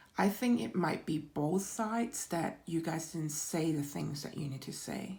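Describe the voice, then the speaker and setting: A woman with a fairly low pitch speaks in a dark, mellow, somewhat breathy tone with lively intonation. Her pace is fairly slow, with hardly any pauses. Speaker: tarot reader. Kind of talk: tarot reading for viewers. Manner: halting, repeats words.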